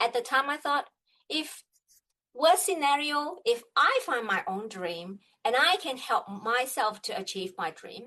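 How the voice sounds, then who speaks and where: A woman with a Chinese accent has a bright, sharp tone and very wide pitch swings. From China. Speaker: business coach. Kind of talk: interview. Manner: halting.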